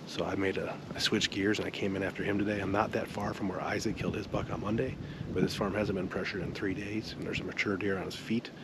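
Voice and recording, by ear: A man with an American accent talks fast, at a low pitch with vocal fry. His intonation is fairly even over clear background noise.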